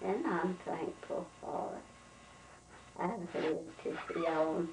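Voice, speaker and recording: A woman talks at a very slow pace. There is noticeable background noise. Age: 80s+. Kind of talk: interview answer. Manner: casual, reminiscing.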